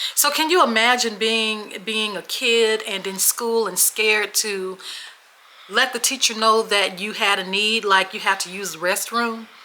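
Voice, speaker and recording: A woman with an American accent speaks slowly-ish at a fairly high pitch with ordinary pitch variation, over noticeable background noise. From Memphis, Tennessee (born Washington State). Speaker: podcast co-host. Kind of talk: casual chat, storytelling. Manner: animated.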